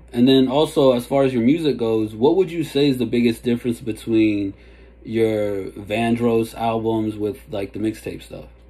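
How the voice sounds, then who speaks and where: A man with an American accent and an unremarkable speaking voice, medium in pitch, with ordinary pitch variation and a moderate pace. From DC and Maryland area. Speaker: hip-hop interviewer. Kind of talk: interview. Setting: video call. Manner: casual.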